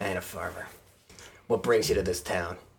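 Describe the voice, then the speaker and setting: In a raspy, put-on character voice, a man speaks at a fairly quick pace. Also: fairly low pitch for a man. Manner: rough, confrontational.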